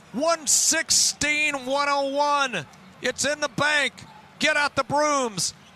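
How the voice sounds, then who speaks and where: A man's extremely high, raised, projected voice with an American accent, at a very slow pace, in a dry sound with no echo. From Texas. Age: 60s. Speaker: radio play-by-play broadcaster. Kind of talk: live basketball radio play-by-play. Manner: excited, dramatic. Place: booth.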